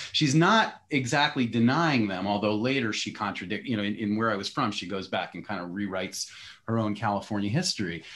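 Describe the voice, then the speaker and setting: A man at a fairly quick pace with an American accent, a fairly low pitch, and ordinary pitch variation. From US East Coast. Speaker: essayist and editor moderating a panel. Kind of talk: panel discussion. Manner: halting, many false starts.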